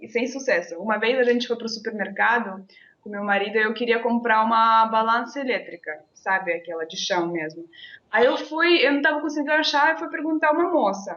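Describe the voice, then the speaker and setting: A woman's fairly high voice with a slight Russian accent, very wide pitch swings, big swings in loudness and a fairly quick pace. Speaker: interview guest. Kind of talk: casual interview.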